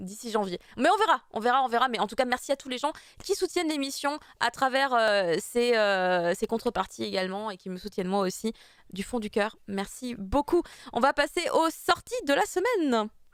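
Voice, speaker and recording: Her voice sits high and swings very widely in pitch. The woman keeps a moderate pace. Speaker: show host. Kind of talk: live show chat.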